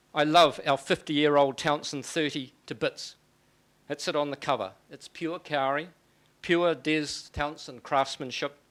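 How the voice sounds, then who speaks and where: This man has a New Zealand accent and a fairly high voice with fairly even intonation. He talks at a fairly slow pace in a very clean recording with a silent background. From New Zealand, Auckland. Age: 60s. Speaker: author and lecturer. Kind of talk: public lecture.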